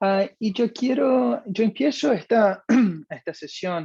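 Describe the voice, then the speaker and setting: In a Brazilian accent, a man speaks at a very slow pace with a high pitch and lively intonation. His voice is dry and close with no echo. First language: Portuguese (speaking Spanish). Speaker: customer success manager at analytics company. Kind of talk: webinar presentation. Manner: hesitant, frequent fillers.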